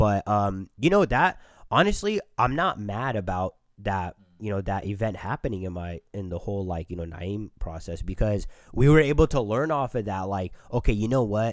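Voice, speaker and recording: At a moderate pace, a man speaks in a plain, everyday voice, his pitch fairly low and varying in an ordinary way. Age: 20s. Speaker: nursing graduate and clothing brand co-founder. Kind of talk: casual interview chat.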